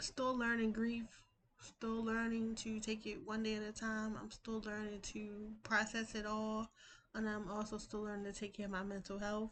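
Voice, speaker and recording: Speech comes at a moderate pace with monotone, flat intonation. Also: woman, fairly high pitch for a woman. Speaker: vlogger. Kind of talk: personal vlog update. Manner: usually loud and rowdy, calmer today.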